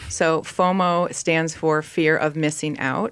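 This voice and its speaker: On a very clean recording with a silent background, a woman talks in a very deep, low pitch with fairly even intonation. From Minnesota. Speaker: travel company founder and nurse. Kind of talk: radio interview.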